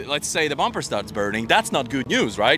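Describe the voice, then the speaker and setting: A man with a non-native accent has a bright, sharp tone with vocal fry, and his pitch swings very widely. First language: not English. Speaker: motorsport paddock reporter. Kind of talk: live event coverage chat.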